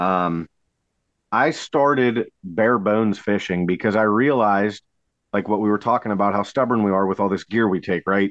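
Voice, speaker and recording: A normal speaking voice from a man with an American accent, fairly low in pitch, with ordinary pitch variation, a moderate pace, and very even loudness. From Pennsylvania, Allegheny River area. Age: 30s. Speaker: kayak fishing tournament director. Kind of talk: casual chat.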